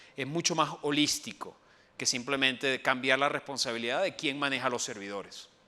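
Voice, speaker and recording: A man with a Venezuelan accent speaks at a moderate pace and medium pitch, his bright, sharp tone carrying ordinary pitch variation. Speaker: IT transformation specialist. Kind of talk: conference talk. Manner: hesitant fillers.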